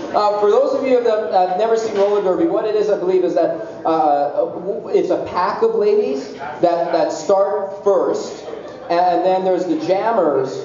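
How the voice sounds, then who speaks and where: The speech comes at a fairly slow pace with very even loudness and ordinary pitch variation, along with audible room echo and light background noise. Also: man, high pitch for a man. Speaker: talk show host. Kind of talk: casual talk show chat. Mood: joking, playful. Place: stage.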